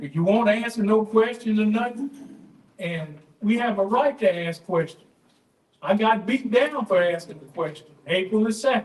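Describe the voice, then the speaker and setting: With an American accent, the voice shows ordinary pitch variation. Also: man. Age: 60s. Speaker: public commenter at council meeting. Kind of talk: public comment speech. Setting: city council chamber. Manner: animated.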